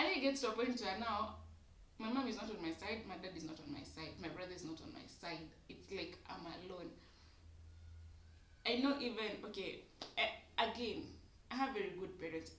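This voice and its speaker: A woman at a medium pitch with lively intonation, big swings in loudness, a fairly quick pace, long, frequent pauses and audible room echo. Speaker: YouTuber. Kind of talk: casual monologue vlog. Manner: code-switching English and Swahili.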